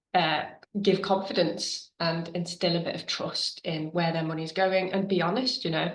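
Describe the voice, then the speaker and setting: Speaking at a moderate pace with a British accent, a woman keeps her intonation fairly even. Room echo is audible. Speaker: webinar presenter on charity marketing. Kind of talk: webinar presentation. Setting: video call. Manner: casual with many fillers.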